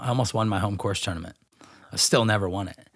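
A man talks with an American accent. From Northern California, Grass Valley. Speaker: professional disc golfer. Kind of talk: casual interview. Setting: at home.

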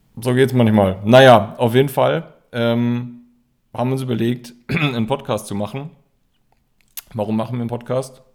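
A man's medium-pitched voice at a moderate pace, with fairly even intonation and long, frequent pauses. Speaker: podcast co-host. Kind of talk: casual chat. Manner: halting, many fillers and repetitions.

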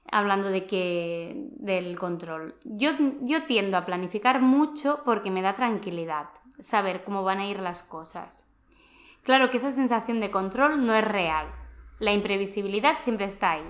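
A woman uses an unremarkable speaking voice at a medium pitch. She talks at a fairly slow pace with lively intonation. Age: 30s. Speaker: personal development podcast host. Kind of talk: casual chat.

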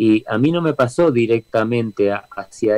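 At a very slow pace, a man talks at medium pitch, recorded with a dry, close sound and no echo. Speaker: reggae band singer. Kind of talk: interview. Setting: video call from home studio.

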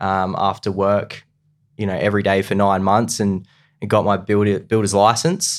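An Australian accent at a moderate pace on a very clean recording with a silent background. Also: man. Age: 20s. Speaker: real estate agent. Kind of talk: casual chat.

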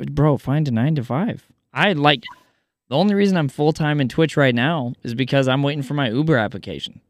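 With an American accent, a man talks at a fairly quick pace in a normal speaking voice, fairly high in pitch with ordinary pitch variation. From US Midwest. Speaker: podcast host. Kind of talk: casual interview chat.

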